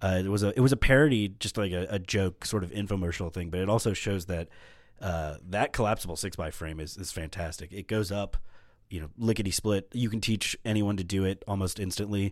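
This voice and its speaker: A man speaks at a fairly quick pace with fairly low pitch and ordinary pitch variation, on a very clean recording with a silent background. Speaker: gear and grip crew member. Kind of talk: casual chat.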